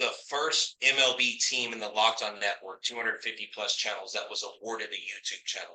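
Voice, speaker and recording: A man's medium-pitched voice with a bright, sharp tone, a moderate pace, and ordinary pitch variation. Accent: American. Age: 40s. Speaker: podcaster and teacher. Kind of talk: talk at a club meeting.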